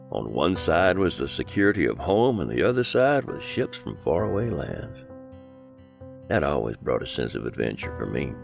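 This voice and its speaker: With an American accent, a man talks at a moderate pace in a very deep, low pitch, his pitch swinging very widely. Music plays in the background. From Southeast Texas. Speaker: voiceover artist. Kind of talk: nostalgic documentary narration.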